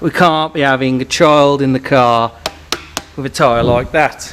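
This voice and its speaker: Noticeable background noise runs under this recording. A man talks at a medium pitch with ordinary pitch variation. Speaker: car enthusiast. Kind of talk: casual vlog. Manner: casual, rambling.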